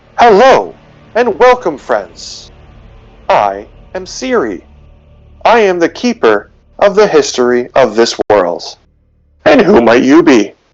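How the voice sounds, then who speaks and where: Someone performs a put-on character voice with very wide pitch swings and long, frequent pauses. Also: man, fairly high pitch for a man, fairly slow pace. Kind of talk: polite, formal, welcoming.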